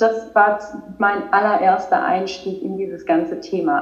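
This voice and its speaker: Against noticeable background noise and audible room echo, a woman with a fairly high pitch talks at a fairly slow pace. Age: 30s. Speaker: spirituality coach. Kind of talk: casual chat.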